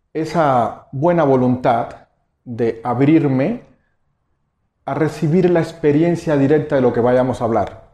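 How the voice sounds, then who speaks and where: Against a quiet background, a man with a Cuban accent speaks fairly slowly in a dark, mellow tone with ordinary pitch variation. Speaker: meditation teacher. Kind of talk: lecture. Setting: stage with audience.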